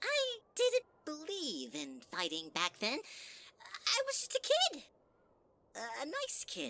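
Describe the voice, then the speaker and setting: A put-on character voice at an extremely high pitch talks very slowly. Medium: audio drama. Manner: sugary, manipulative.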